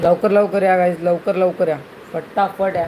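There is noticeable background noise behind this man. His high-pitched voice stays monotone and flat. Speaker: gaming streamer. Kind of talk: live gaming stream commentary.

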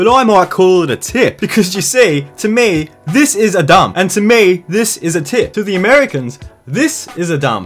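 Over music in the background, a man with an Australian accent and a high pitch talks with very wide pitch swings and hardly any pauses. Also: moderate pace. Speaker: comedy YouTuber. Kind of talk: comedic rant to camera. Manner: crude, profane, jokey.

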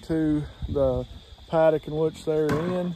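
The man's fairly even intonation comes through in a dry recording with no echo. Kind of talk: casual vlog chat. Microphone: phone near.

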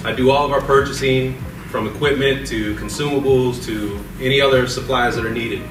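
A man at a fairly quick pace, medium in pitch, with fairly even intonation, clear background noise and audible room echo

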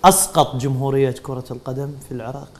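A man speaks with a fairly high pitch. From Iraq. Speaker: sports TV presenter; TV presenter. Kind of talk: TV sports talk show. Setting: studio. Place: studio. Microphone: lapel.

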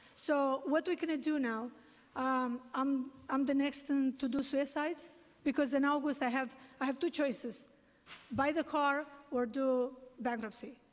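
Keeping a very even loudness, a woman speaks high in pitch at a fairly slow pace, with fairly even intonation and long, frequent pauses. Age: 60s. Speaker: taxi medallion owner testifying at a hearing. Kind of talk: public testimony. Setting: city council hearing. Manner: halting. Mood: distressed, pleading. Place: hall. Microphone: podium.

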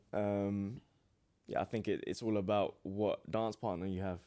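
Over a quiet background, a man speaks fairly quickly at a fairly low pitch, his tone dark and mellow and his intonation fairly even. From England. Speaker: professional boxer; podcast guest. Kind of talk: casual interview. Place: studio. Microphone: studio mic.

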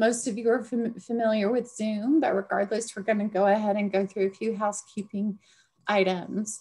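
Somewhat breathy, a woman delivers her words with fairly even intonation. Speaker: nonprofit deputy director hosting a webinar. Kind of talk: webinar introduction and housekeeping. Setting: online webinar, video call. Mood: friendly, welcoming. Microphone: webcam.

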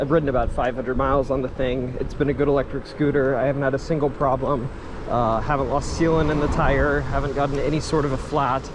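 A man talks at a very fast pace in monotone, flat intonation and very even loudness, with noticeable background noise behind him. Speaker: commuter vlogger. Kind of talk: casual vlog chat. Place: street. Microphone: phone near.

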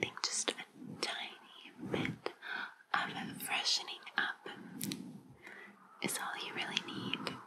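A woman whispers, soft-spoken throughout. Noticeable background noise is present. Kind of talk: ASMR role-play, soft-spoken. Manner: soft close ASMR whisper. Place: home room.

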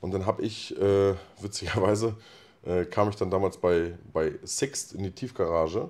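This man's voice sits very deep and low in pitch. His pitch moves with ordinary variation. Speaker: rapper. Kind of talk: casual chat. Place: studio. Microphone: handheld.

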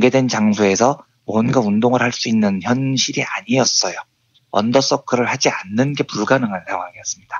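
This man has an unremarkable speaking voice, medium in pitch, with ordinary pitch variation at a fairly quick pace. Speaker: economics journalist. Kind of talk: radio-style commentary segment. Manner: solemn, mournful.

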